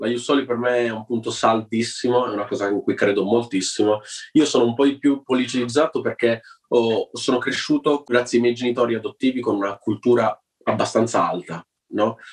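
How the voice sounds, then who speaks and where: This man's voice sits at a medium pitch, and he talks fairly quickly with fairly even intonation. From Turin, northern Italy. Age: 20s. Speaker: actor and activist. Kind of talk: interview. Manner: halting.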